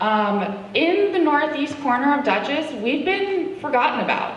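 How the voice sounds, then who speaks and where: With lively intonation and a fairly slow pace, a woman talks amid noticeable background noise and audible room echo. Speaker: political candidate. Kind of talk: campaign speech. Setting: public meeting with audience and microphone. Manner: loud.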